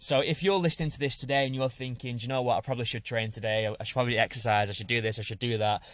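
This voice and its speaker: A man with an English accent speaks at a medium pitch with ordinary pitch variation. The background is quiet. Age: 30s. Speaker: fitness podcast host, personal trainer. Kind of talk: solo podcast monologue. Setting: parked outside a supermarket.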